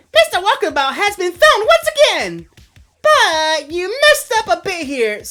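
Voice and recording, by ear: A man puts on a squeaky character voice at an extremely high pitch, swinging very widely in pitch. Faint music plays in the background. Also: moderate pace.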